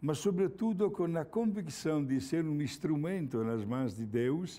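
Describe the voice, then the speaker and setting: In an Italian accent, a man with a fairly high pitch and a dark, mellow tone speaks very slowly with lively intonation. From Italy, Milan. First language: Italian (speaking Portuguese). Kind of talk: religious talk.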